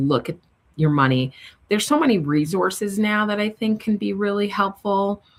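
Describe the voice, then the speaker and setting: Speaking with a slight New York accent, a woman keeps a medium pitch and a moderate pace. Her pitch swings very widely. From New York City. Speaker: money strategist. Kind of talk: interview conversation.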